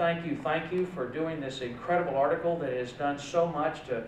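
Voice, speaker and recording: There is audible room echo and light background noise as a man speaks at a moderate pace. His intonation stays fairly even. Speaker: politician addressing event. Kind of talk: speech. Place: hall. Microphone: podium.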